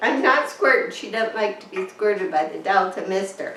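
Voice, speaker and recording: A woman's voice over noticeable background noise. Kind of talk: casual talk to camera.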